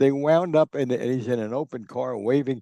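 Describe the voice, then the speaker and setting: With a New Jersey accent, a man speaks at a medium pitch in a dark, mellow tone, the sound dry and close with no echo against a quiet background. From New Jersey, Newark. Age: 90s. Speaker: sports journalist and author. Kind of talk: interview storytelling. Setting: podcast.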